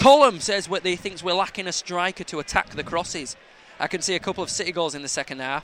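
Speaking at a very fast pace with a Yorkshire accent, the man has a high pitch, a bright, sharp tone and lively intonation. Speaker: football fan podcast co-host. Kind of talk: casual chat.

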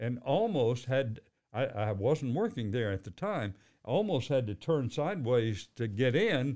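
A man with an American accent and an ordinary speaking voice talks fairly slowly at a medium pitch with lively intonation. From Fort Worth, Texas. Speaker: retired news anchor. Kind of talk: casual chat.

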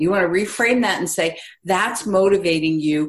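A woman speaks in a plain, everyday voice at a moderate pace. Her pitch is medium, with ordinary variation. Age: 60s. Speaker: parenting expert. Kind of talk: casual chat.

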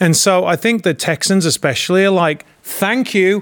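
A man with a high voice and an English accent. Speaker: actor and producer. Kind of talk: casual political chat. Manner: halting.

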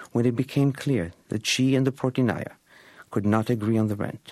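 On a very clean recording with a silent background and a dry, close sound with no echo, a man speaks at a moderate pace in a medium pitch, with a dark, mellow tone and ordinary pitch variation. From Egypt. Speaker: writer and teacher. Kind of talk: reading aloud.

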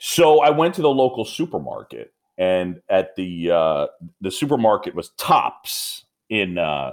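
This is a man speaking. He has a slight New York accent. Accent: mild New York. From New York, Roosevelt Island. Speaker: baseball play-by-play announcer. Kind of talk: interview. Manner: laid back.

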